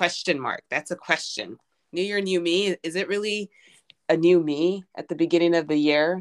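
A woman with a normal speaking voice, fairly low pitched, talks at a moderate pace with fairly even intonation in a dry, close sound with no echo. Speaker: podcast co-host. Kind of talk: casual chat.

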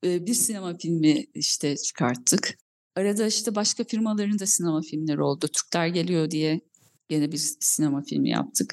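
An ordinary speaking voice from a woman, fairly low in pitch, with lively intonation at a moderate pace. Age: 40s. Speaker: film and TV producer. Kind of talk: interview.

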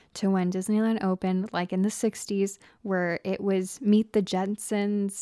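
Against a very clean recording with a silent background, a woman uses a normal speaking voice at medium pitch and a moderate pace. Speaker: podcast host. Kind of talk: casual chat.

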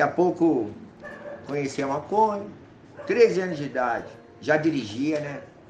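In a room with audible echo and noticeable background noise, a man speaks at a fairly high pitch and a moderate pace, with lively intonation and long, frequent pauses. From São Paulo city, north zone (Brasilândia). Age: 40s. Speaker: former drug user sharing recovery story. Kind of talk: testimony.

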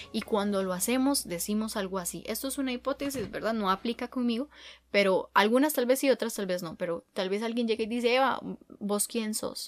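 In a very clean recording with a silent background, a woman with a Costa Rican accent speaks at a fairly quick pace in a fairly high pitch with ordinary pitch variation. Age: 20s. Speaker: podcast host. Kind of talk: casual monologue.

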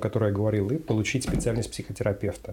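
At a very fast pace, a man speaks in a somewhat breathy voice. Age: 20s. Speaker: psychiatrist. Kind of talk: interview answers. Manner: formal.

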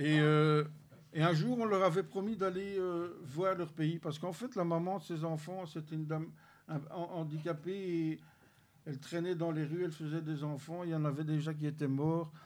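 Fairly level intonation in an unremarkable speaking voice, moving at a moderate pace. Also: man, fairly high pitch for a man. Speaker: church member giving testimony. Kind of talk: testimony.

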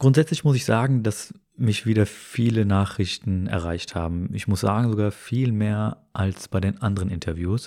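A man in a calm, dark, mellow tone, with ordinary pitch variation and hardly any pauses. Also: fairly low pitch for a man, moderate pace, very clean recording, silent background. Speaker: podcast host. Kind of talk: casual chat.

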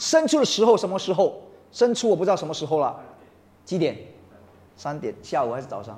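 Speaking at a fairly quick pace with long, frequent pauses, a man uses an animated tone, a high pitch and very wide pitch swings. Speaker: preacher. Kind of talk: sermon to a congregation. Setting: church. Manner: animated, rousing call-and-response; emphatic, mixes Mandarin with English phrases.

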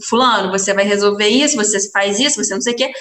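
The woman's voice sits at a fairly high pitch. It rises and falls in an ordinary way. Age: 20s. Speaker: restaurant owner. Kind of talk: interview. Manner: animated.

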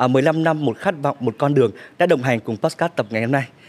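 Talking at a very fast pace, a man with a fairly high-pitched voice shows ordinary pitch variation. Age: young. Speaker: podcast host. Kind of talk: casual chat.

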